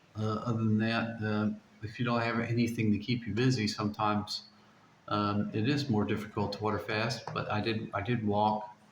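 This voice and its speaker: The man's pitch is fairly low, and his intonation is monotone and flat. He talks at a moderate pace with audible room echo. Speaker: vlogger documenting a water fast. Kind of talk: casual vlog monologue. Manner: halting, many repetitions.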